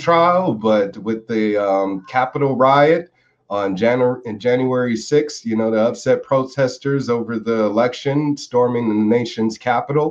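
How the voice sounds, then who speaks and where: Speaking fairly slowly in an ordinary speaking voice, a man with an American accent uses a medium pitch and ordinary pitch variation. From United States. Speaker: political activist. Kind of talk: interview.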